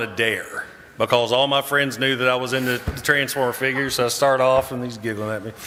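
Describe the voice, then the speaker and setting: A man at a medium pitch and a fairly quick pace, with audible room echo and noticeable background noise. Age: 50s. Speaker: YouTuber and military veteran. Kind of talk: panel discussion. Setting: convention stage with audience.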